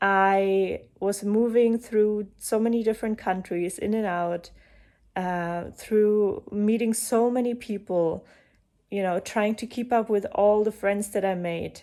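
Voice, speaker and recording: A woman speaks very slowly with a German accent and a dark, mellow tone. Her intonation is fairly even, and the recording is very clean with a silent background. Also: medium pitch for a woman. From eastern Germany. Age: 30s. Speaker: coach and breathwork facilitator. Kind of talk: personal talk to camera.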